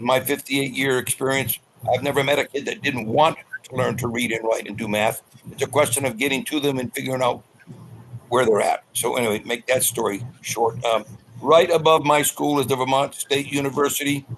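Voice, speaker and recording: A man talks fairly quickly, with noticeable background noise in the recording. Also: medium pitch for a man, fairly even intonation. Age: 80s+. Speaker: elementary school teacher. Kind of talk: panel discussion.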